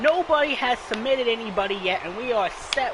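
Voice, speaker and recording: Crowd noise fills the background as a man speaks. His pitch is extremely high and his intonation lively. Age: 20s. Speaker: gaming streamer. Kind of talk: live gameplay commentary. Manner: animated.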